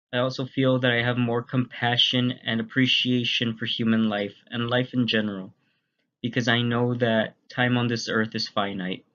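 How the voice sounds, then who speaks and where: Bright and sharp in tone, a man speaks with monotone, flat intonation. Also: medium pitch for a man, moderate pace. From Texas, Laredo. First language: Spanish. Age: 20s. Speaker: university student. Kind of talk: class presentation narration.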